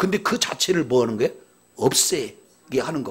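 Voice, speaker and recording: Over noticeable background noise, a man talks at a fairly quick pace with a fairly high pitch and very wide pitch swings. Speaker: pastor. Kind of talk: sermon. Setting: church.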